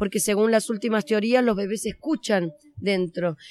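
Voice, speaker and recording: In an Argentine accent, a woman with a fairly high pitch speaks at a moderate pace with ordinary pitch variation, her sound dry and close with no echo. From Argentina. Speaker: children's author and storyteller. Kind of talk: interview. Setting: on location at a festival.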